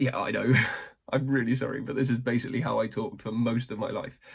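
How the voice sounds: A man puts on a croaky character voice at a medium pitch. His intonation is fairly even.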